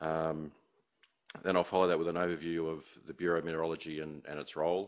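A man with an Australian accent speaks at a very deep, low pitch in a monotone, flat intonation. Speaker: meteorologist, remote sensing scientist. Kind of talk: lecture. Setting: conference room with audience. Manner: halting, many fillers.

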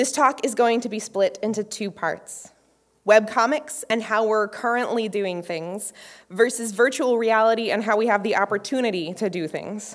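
A woman talks at a moderate pace, and the background stays quiet. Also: ordinary pitch variation. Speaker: conference speaker. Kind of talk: lecture. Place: stage. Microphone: podium.

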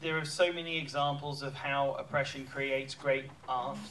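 A man speaks with a British accent at a moderate pace and fairly high pitch. His intonation is fairly even, with light background noise. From England, London. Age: 30s. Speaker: film director. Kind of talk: panel Q&A. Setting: stage with audience. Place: hall.

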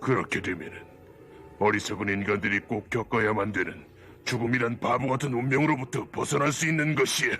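A man puts on a cartoonish character voice at medium pitch and a fairly quick pace. Clear background noise can be heard. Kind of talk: anime dub dialogue.

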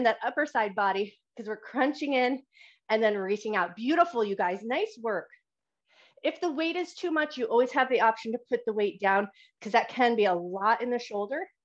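Against a quiet background, a woman talks at a fairly quick pace in a high pitch with lively intonation. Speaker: fitness instructor. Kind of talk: exercise class instruction. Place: home room. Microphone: video call.

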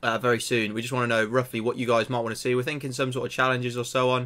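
The voice belongs to a man. It has a bright, sharp tone. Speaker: small channel creator. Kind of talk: casual vlog chat. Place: home room. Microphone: webcam.

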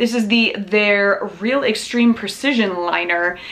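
At a fairly slow pace, a woman speaks with vocal fry, a fairly bright tone and ordinary pitch variation, with audible room echo. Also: medium pitch for a woman.

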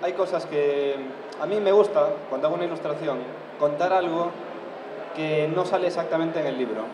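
Against noticeable background noise, a man speaks at a fairly quick pace with fairly even intonation. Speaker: illustrator on a panel. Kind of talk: panel talk explaining his artwork. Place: hall.

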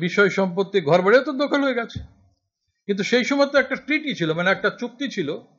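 Lively intonation carries this man's speech. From West Bengal, Murshidabad; West Bengal. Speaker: essayist and political activist; guest lecturer. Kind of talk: lecture. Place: classroom. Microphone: podium.

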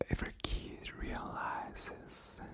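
She whispers. The speaker is a woman. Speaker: ASMR creator. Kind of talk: ASMR whispered ramble. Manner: whispered, soft. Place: home room. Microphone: studio mic.

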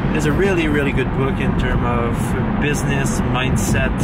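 Loud background noise sits under a man speaking at a fairly slow pace, with a dry sound and no echo. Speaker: fitness vlogger. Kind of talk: casual vlog chat. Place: car. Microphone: phone near.

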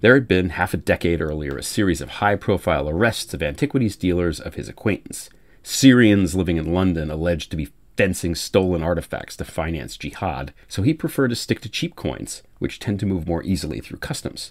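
An American-accented man speaks with a very deep, low pitch and vocal fry. His intonation is lively and his pace fairly quick. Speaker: author and audiobook reader. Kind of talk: audiobook reading of author's introduction. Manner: wry, conversational, self-deprecating.

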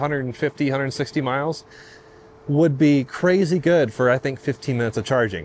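Over light background noise, a man's voice comes through in a dry sound with no echo. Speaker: car reviewer. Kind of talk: casual vlog chat. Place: station. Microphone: lapel.

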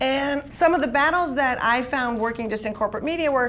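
A woman with an American accent speaks at a moderate pace with ordinary pitch variation over light background noise. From US Midwest. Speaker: comedian and panel moderator. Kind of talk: panel discussion. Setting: stage with audience. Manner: animated. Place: meeting room. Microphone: podium.

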